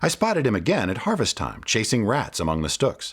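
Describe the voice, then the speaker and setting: The recording is very clean and the background silent. A man speaks at a moderate pace. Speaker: children's book reader / voice-over narrator. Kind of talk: children's book read-aloud storytelling.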